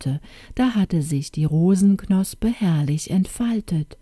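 Natural-sounding reading, nothing more

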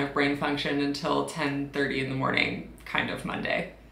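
The woman keeps a moderate pace. Audible room echo surrounds her voice. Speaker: PhD student vlogger. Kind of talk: casual vlog chat. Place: home room.

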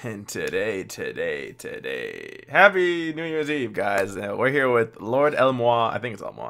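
A man's voice at a moderate pace, with hardly any pauses, big swings in loudness and a quiet background. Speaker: YouTube anime reactor. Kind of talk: casual live reaction chat. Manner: animated. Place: home room. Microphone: headset.

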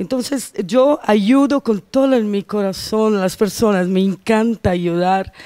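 Against a quiet background, a woman in a Portuguese accent talks at a fairly slow pace with hardly any pauses. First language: Portuguese (speaking Spanish). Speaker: quantum therapist; interview guest. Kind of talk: casual chat. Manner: halting. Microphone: handheld.

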